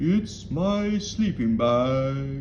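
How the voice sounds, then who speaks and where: Amid clear background noise, a man at a medium pitch speaks in a put-on character voice. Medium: read story.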